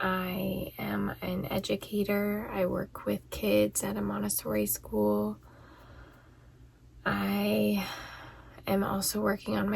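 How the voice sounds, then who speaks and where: The woman is soft-spoken. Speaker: vlogger and educator. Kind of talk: casual chat. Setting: in a closet at home.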